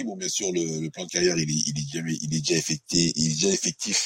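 Very deep, low male voice, its pitch varying in an ordinary way. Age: 40s. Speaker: MMA fighter. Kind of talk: interview. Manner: halting.

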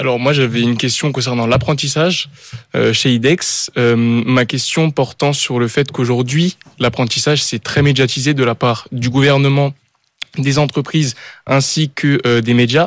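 A man at a medium pitch, fairly slow in pace, with fairly even intonation and very even loudness. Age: 20s. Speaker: apprentice student. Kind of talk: radio interview. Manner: halting, hesitant.

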